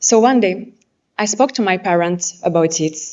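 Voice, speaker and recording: A woman speaks with a French accent at a medium pitch. Her pace is moderate and her pitch variation ordinary. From France. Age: 20s. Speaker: pageant contestant. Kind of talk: competition speech. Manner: halting.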